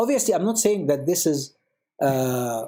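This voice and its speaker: A man speaks at a moderate pace with an Arabic accent. His pitch swings very widely. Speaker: priest. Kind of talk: panel discussion. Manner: code-switching Arabic and English.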